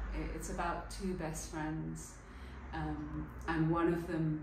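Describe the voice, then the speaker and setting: Noticeable background noise accompanies a woman speaking at a very slow pace. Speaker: theatre maker. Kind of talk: interview answer.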